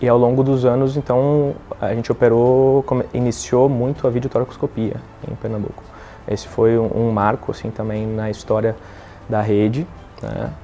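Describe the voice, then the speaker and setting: With a southern Brazilian accent, a man of medium pitch talks at a moderate pace and with fairly even intonation against noticeable background noise. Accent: gaúcho accent, noticeable. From southern Brazil, Rio Grande do Sul. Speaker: thoracic surgeon. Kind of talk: testimony. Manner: halting, with fillers and repetitions.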